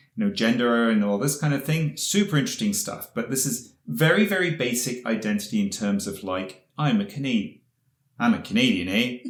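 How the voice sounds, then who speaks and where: A man in a British accent speaks with very wide pitch swings. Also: medium pitch for a man, fairly quick pace. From England. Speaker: podcast co-host. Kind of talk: casual chat.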